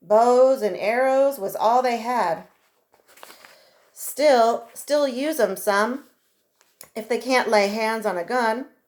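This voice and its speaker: In a put-on character voice, a woman drawls at a fairly slow pace with a fairly high pitch and ordinary pitch variation, on a very clean recording with a silent background. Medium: read story. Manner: drawling, rough frontier talk.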